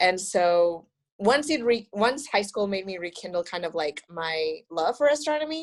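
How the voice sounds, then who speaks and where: With a Spanish accent, a woman talks at a moderate pace, her intonation lively. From Mexico, Monterrey. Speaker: astronomy graduate student. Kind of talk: podcast interview. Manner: casual, many fillers.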